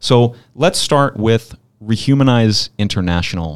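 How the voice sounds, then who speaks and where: In a normal speaking voice with an American accent and ordinary pitch variation, the speaker is heard on a very clean recording with a silent background. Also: man. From Pennsylvania, Philadelphia area. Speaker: podcast host. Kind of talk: interview conversation. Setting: studio in person.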